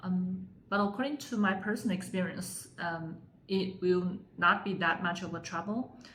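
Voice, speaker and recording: A woman speaks in a Chinese accent at a moderate pace. Her intonation is fairly even, with audible room echo. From China, Sichuan province. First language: Mandarin Chinese. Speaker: Chinese language teacher. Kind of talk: tutorial. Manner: frequent fillers, hesitant.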